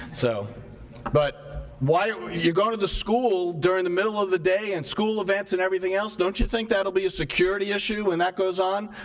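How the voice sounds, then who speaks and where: A man with a high voice talks while noticeable background noise continues behind him. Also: ordinary pitch variation, moderate pace. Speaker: resident speaking at public meeting. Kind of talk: public comment. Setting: town hall meeting.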